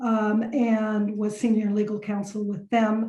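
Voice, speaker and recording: In an American accent, a woman speaks at a very slow pace. Her voice is fairly high in pitch and somewhat breathy. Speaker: lawyer. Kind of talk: podcast interview. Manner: hesitant fillers.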